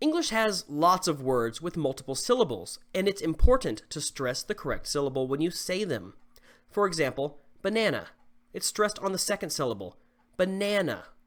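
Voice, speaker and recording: With a slight Southern US accent and lively intonation, a man talks at a moderate pace in a high pitch. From US South. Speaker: English teacher. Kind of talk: tutorial. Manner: clear, instructional.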